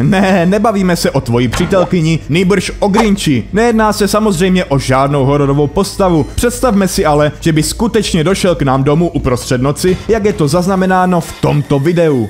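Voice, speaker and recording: Over background music, a man with a high pitch speaks with hardly any pauses. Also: moderate pace, very even loudness. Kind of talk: humorous narration of a video compilation. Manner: sarcastic, joking.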